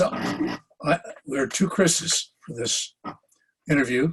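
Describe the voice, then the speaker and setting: Somewhat breathy and fairly high-pitched, a man speaks with an American accent. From US Midwest, Minneapolis, Minnesota. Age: 80s+. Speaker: retired historian and college president. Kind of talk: oral history interview.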